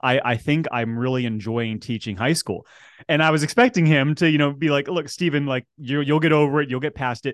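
With an American accent, a man speaks at a fairly quick pace in a medium pitch, showing ordinary pitch variation. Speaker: school entrepreneurship director, former English teacher. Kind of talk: interview. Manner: animated.

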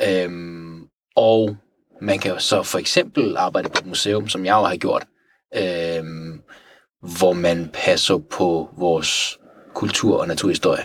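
Pitched very deep and low, a man talks at a very slow pace. He leaves long, frequent pauses, and his intonation is fairly even. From Iran (Tehran). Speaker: natural history taxidermist. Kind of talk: casual interview.

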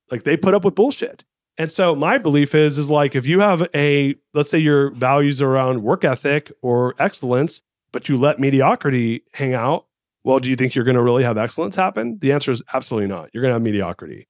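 On a very clean recording with a silent background and a dry, close sound with no echo, a man speaks fairly quickly at a fairly high pitch with ordinary pitch variation. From Southern California. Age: 40s. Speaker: entrepreneur and author. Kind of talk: interview.

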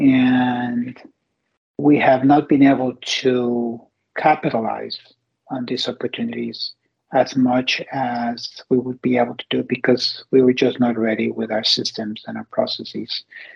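A man speaks fairly slowly in a Spanish accent. His pitch is medium and his intonation monotone and flat. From Mexico. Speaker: company CEO. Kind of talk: interview.

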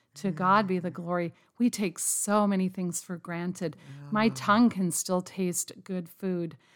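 In a very clean recording with a silent background, a woman speaks at a fairly slow pace in a plain, everyday voice. Her pitch is medium with ordinary variation, and her loudness swings widely. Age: 50s. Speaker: pastor's wife. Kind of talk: interview.

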